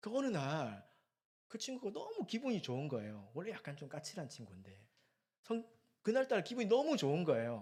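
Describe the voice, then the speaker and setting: A man talks at a fairly quick pace and a fairly high pitch, with very wide pitch swings and big swings in loudness. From South Korea, Gyeongsang region (Busan). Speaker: preacher. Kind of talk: sermon. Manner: conversational, engages the audience.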